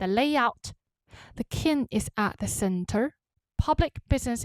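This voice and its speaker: A woman with a Chinese accent speaks at a moderate pace with very wide pitch swings. The recording is very clean, with a silent background. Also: dry, close sound with no echo. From China. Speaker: travel and culture vlogger. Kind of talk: educational explainer.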